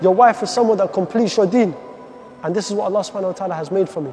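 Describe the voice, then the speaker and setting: Talking at a very fast pace with ordinary pitch variation, a man with a high voice is heard over noticeable background noise. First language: Arabic. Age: 20s. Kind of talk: personal testimony. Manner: halting, with repetitions.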